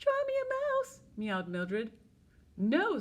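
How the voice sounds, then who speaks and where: A woman's put-on, squeaky character voice at an extremely high pitch and a fairly slow pace. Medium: read story.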